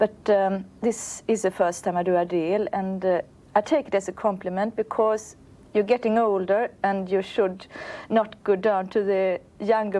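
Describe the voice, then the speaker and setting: A woman with a Swedish accent speaks at a moderate pace and medium pitch in a dark, mellow tone, with monotone, flat intonation and very even loudness. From Sweden. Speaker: opera singer. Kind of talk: interview.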